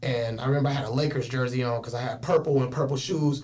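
A man at a medium pitch and a fairly quick pace, with audible room echo. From Richmond, California (Bay Area). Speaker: PE teacher and rapper. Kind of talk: casual chat. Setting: studio.

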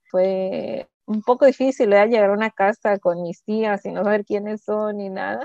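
A woman's medium-pitched voice, dark and mellow in tone, at a moderate pace with hardly any pauses, ordinary pitch variation and big swings in loudness, in a dry, close sound with no echo. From Pacific Northwest US, raised from age 4-5. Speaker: community worker. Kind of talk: interview. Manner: hesitant.

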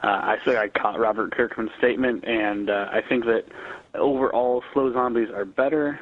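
Through noticeable background noise, a man's medium-pitched voice comes at a moderate pace with ordinary pitch variation. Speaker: podcast listener calling in. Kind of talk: voicemail commentary. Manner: halting.

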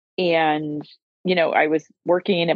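This woman has an unremarkable speaking voice, fairly low in pitch. Her pitch variation is ordinary. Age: 50s. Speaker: lawyer and law firm owner. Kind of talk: casual interview chat.

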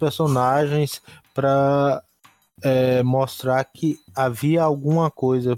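The sound is dry and close, with no echo. A man speaks at a very slow pace with fairly even intonation. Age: 40s. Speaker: podcast co-host. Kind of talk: casual chat.

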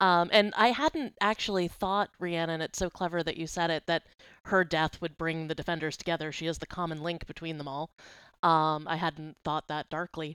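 Speaking with an American accent, a woman uses a plain, everyday voice at a fairly low pitch, with fairly even intonation and a moderate pace. The sound is dry and close with no echo, and the recording is very clean with a silent background. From Boston. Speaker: guest, TV fan. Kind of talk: casual chat.

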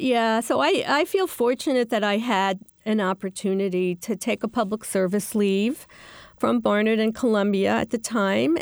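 On a very clean recording with a silent background, a woman with an American accent uses a plain, everyday voice at a fairly high pitch, a fairly slow pace, ordinary pitch variation, and very even loudness. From New York City, Queens. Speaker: professor. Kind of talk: interview.

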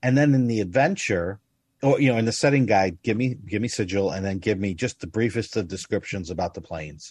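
An unremarkable speaking voice from a man, fairly low in pitch with ordinary variation, at a fairly quick pace against a quiet background. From United States. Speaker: tabletop game podcast host. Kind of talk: casual chat.

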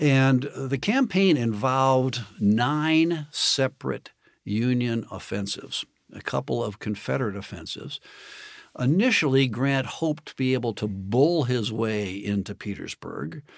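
Against a quiet background, a man with an ordinary speaking voice talks at a fairly slow pace in a medium pitch with lively intonation. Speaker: historian and author. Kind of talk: interview about history, explanatory talk.

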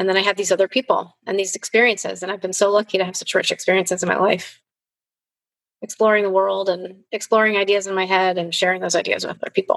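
A woman talks very fast in a flat monotone with a Chicago accent at medium pitch. The sound is dry and close, with no echo. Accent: Chicago American English. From US Midwest, Chicago. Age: 50s. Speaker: filmmaker and teacher. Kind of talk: interview. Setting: video call. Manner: halting, with frequent repetitions.

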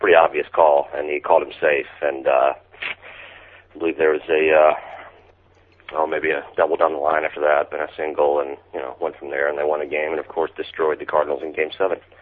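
A man with an American accent, very deep and low in pitch, monotone and flat in intonation, at a fairly quick pace with big swings in loudness, over noticeable background noise. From Mississippi, US South. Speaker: author and stay-at-home dad. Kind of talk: casual chat. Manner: joking, playful.

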